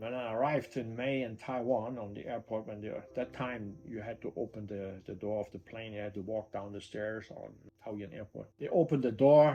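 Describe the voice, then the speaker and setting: Speaking in a German accent, a man with a medium pitch and a dark, mellow tone keeps a moderate pace with hardly any pauses, his pitch variation ordinary while his loudness swings widely. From Germany. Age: 60s. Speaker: retired entrepreneur. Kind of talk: casual storytelling interview. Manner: halting.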